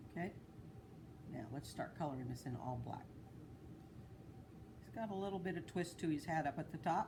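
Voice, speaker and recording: A soft-spoken woman talks at a fairly quick pace with long, frequent pauses, her pitch very deep and low. Her voice is somewhat breathy, dark and mellow, with lively intonation. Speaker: art teacher. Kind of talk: tutorial. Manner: casual.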